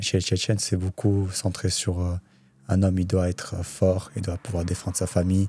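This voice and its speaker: A man's very deep, low, somewhat breathy voice, monotone and flat, at a moderate pace, with a dry, close sound and no echo. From France, Saint-Étienne, Chechen family. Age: 20s. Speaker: MMA fighter. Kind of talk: casual podcast interview.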